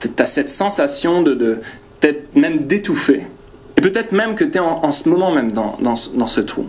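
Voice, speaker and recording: In a high pitch and with a slight northern French accent, a man swings his pitch very widely, with audible room echo and noticeable background noise. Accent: slight northern French (ch'ti). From northern France. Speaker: preacher. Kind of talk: sermon. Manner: halting, many hesitations.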